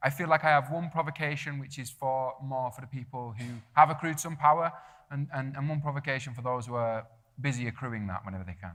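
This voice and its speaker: Speaking at a very fast pace, a man shows big swings in loudness and ordinary pitch variation. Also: medium pitch for a man. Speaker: theatre-maker and writer. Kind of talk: panel debate. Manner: halting, many fillers.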